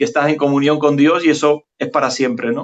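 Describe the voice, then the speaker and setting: This man's voice is pitched fairly high. Its pitch moves in an ordinary way. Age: 60s. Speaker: physician and journalist. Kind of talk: interview. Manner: hesitant, many fillers.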